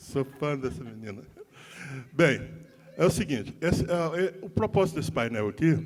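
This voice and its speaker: A fairly high-pitched man with lively intonation at a moderate pace, amid noticeable background noise. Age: 60s. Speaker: union leader, panel moderator. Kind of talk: panel moderation. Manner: halting, many repetitions.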